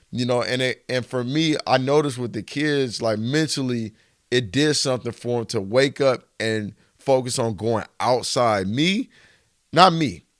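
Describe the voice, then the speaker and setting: An unremarkable speaking voice: a man with an American accent, medium pitch, ordinary pitch variation and a fairly slow pace, in a very clean recording with a silent background. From Arizona, Flagstaff. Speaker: basketball trainer. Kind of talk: casual podcast conversation.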